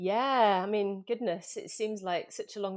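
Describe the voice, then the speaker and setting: Over a very clean recording with a silent background, a woman talks with a slight Manchester accent and fairly even intonation. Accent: slight Mancunian. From Manchester, northern England. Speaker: yoga coach, former freediver. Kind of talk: podcast interview.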